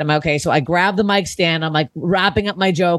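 In a Canadian accent, a woman with a fairly low voice talks at a very fast pace, the sound dry and close with no echo. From Canada. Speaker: comedian. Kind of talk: casual chat. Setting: home recording.

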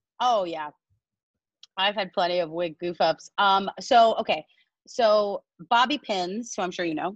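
Speaking at a fairly slow pace with long, frequent pauses, a woman uses an animated tone, medium pitch, and ordinary pitch variation in a dry, close sound with no echo. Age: 30s. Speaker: musical theatre actress. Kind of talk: casual chat.

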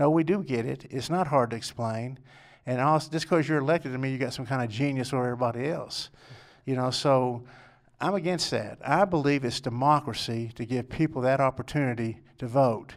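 At a fairly quick pace, a man speaks in a West Texas accent. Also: medium pitch for a man, ordinary pitch variation, very clean recording, silent background. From Lubbock, West Texas. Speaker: political candidate. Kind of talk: interview.

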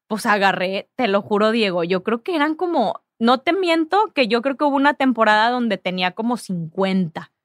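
A woman speaks at a fairly slow pace with lively intonation and a fairly high pitch. Hers is a plain, everyday voice. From Mexico, Ciudad Victoria, Tamaulipas. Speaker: sports agency founder. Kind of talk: casual interview.

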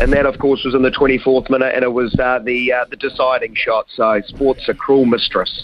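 Moderately paced male speech under noticeable background noise. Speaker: sports commentator. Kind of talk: live football goal commentary, building to an explosive call.

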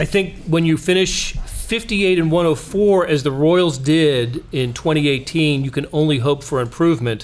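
A man with an American accent talks at a fairly slow pace, his pitch fairly high and its variation ordinary. His loudness stays very even over noticeable background noise. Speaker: podcast host. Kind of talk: sports podcast discussion.

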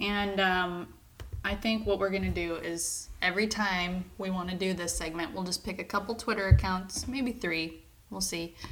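A woman sounds playful at a medium pitch, speaking at a moderate pace with fairly even intonation over noticeable background noise. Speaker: podcast co-host. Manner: joking, playful.

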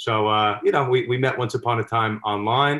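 A man with an American accent and a plain, everyday voice talks at a fairly quick pace, at a medium pitch with ordinary pitch variation. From New York, Westchester County. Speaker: sports law commentator and litigator. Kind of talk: casual chat.

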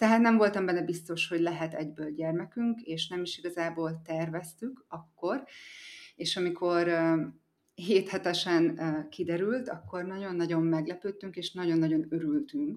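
Calm and soothing in tone, a woman speaks at a fairly low pitch with ordinary pitch variation in a very clean recording with a silent background. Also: fairly slow pace. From Hungary, Eger area. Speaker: mother living abroad, yoga teacher. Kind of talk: interview. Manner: calm, soothing.

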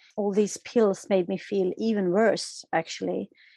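A woman speaks with a Swedish accent at a medium pitch, in a monotone with flat intonation. The sound is dry and close with no echo, over a quiet background. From Sweden, Stockholm. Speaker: author and yoga therapist. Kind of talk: interview. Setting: remote call.

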